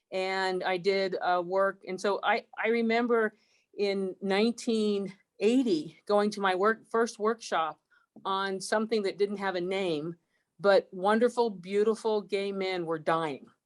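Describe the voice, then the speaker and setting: A plain, everyday voice with fairly even intonation at a fairly slow pace, in a very clean recording with a silent background. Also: woman, medium pitch for a woman. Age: 60s. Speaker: university chancellor. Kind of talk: panel discussion. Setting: recorded broadcast.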